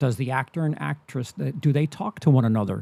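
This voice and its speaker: Dry and close with no echo, a man's somewhat breathy voice has a dark, mellow tone. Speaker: movie commentary streamer. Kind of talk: live stream reaction commentary. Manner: stammer; halting, many repeats and fillers.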